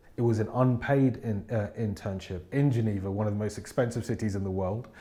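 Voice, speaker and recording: Fairly quick and fairly low-pitched, a man with a London accent talks in a dark, mellow tone with fairly even intonation. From England, South London. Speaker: business consultant. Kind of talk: interview monologue.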